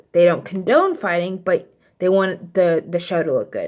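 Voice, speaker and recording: The speaker has an American accent and talks at a moderate pace. The recording is very clean, with a silent background. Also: woman. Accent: slight Texas accent, stronger when mad. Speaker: vlogger. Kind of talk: casual storytelling vlog. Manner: casual, many fillers.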